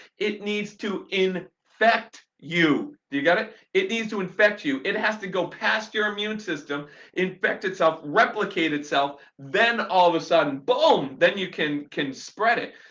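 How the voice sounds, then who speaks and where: Shouting loudly at a high pitch, a man speaks in a bright, sharp tone with lively intonation, a fairly slow pace and hardly any pauses. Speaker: chiropractor/health vlogger. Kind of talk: live-stream rant to viewers. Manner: loud, shouting; animated, fired up.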